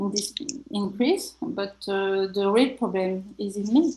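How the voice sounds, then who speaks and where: With a French accent, a woman speaks in a somewhat breathy, dark and mellow voice. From France. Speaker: healer and author. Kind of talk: radio interview. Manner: halting.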